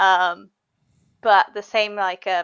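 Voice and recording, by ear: A woman speaks at a medium pitch with a clear, smooth, fairly bright tone.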